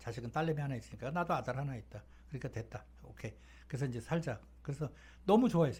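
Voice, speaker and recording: Lively intonation and vocal fry run through this very fast-paced speech. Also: man. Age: 60s. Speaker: talk show guest telling life stories. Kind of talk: casual storytelling chat. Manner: casual, conversational with fillers.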